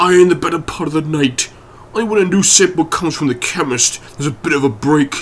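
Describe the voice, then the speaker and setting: A man's put-on character voice, fairly high in pitch with ordinary pitch variation, at a very fast pace over clear background noise. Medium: read story. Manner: hushed, respectful.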